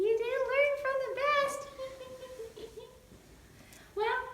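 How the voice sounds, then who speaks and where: In a cartoonish character voice that sounds female, the speaker keeps a calm tone, with slight echo. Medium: puppet. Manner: calm, patient.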